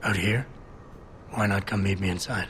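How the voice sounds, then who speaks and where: This man puts on a raspy character voice at a fairly low pitch, moving at a moderate pace. His intonation is monotone and flat, and background noise is clearly audible. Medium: video game. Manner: low-key, terse.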